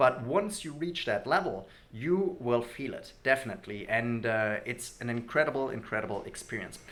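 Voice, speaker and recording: The speaker has a German accent. Intonation is lively and the pace moderate. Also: man, medium pitch for a man. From Germany. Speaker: language learning youtuber. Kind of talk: casual vlog talk to camera.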